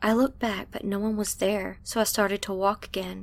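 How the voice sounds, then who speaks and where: In a very clean recording with a silent background, a woman with an ordinary speaking voice talks at a moderate pace with medium pitch and fairly even intonation. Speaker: story narrator. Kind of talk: storytelling.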